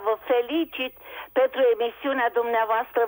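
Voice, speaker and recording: A woman speaks in a high voice with ordinary pitch variation. The sound is dry and close, with no echo. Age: 70s. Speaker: caller, retired PE teacher. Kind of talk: call-in question.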